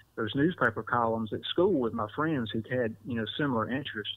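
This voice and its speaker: A man with an Alabama accent, talking at a very fast pace. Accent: US Southern (Alabama). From Southwest Alabama. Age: 40s. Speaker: newspaper reporter. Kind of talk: podcast interview. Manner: repetitive false starts.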